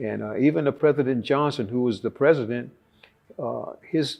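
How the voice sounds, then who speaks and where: In a Texan accent, a man speaks at medium pitch and a moderate pace, with ordinary pitch variation. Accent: Texan Southern US. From Texas (Conroe). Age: 70s. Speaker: war veteran. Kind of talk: interview testimony. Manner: halting with frequent fillers.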